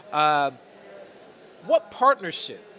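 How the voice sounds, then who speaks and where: A man speaks at a moderate pace with a fairly high pitch in an American accent. Noticeable background noise is present. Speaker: podcast host and interviewer. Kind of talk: interview. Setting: conference.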